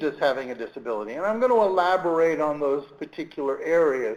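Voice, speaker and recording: A man with a Brooklyn accent, fairly high pitch, fairly quick pace and lively intonation. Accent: Brooklyn New York. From Brooklyn, New York. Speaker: government employment rights official. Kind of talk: webinar presentation. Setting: online webinar.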